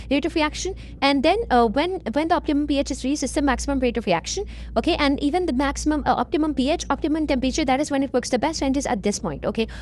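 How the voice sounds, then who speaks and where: A woman with a high pitch speaks at a very fast pace, keeping her loudness very even and her pitch variation ordinary. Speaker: online revision tutor. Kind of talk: tutorial. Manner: repetitive fillers (okay).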